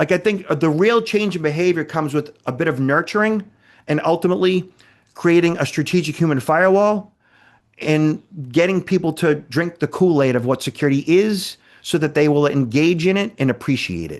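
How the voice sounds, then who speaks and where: A man with a Boston accent speaks fairly quickly in an animated tone at a fairly high pitch over a quiet background. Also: ordinary pitch variation. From Boston, Massachusetts. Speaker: cybersecurity expert. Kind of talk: podcast interview.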